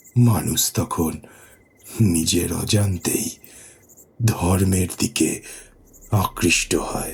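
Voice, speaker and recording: A man's put-on character voice, fairly low in pitch, with fairly even intonation and a very slow pace. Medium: audio drama. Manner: solemn, measured.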